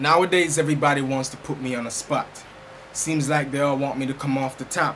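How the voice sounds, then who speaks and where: Speaking fairly quickly in a fairly high pitch, a man keeps a monotone, flat intonation over noticeable background noise. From Jamaica. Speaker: spoken word poet. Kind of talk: spoken word poetry performance.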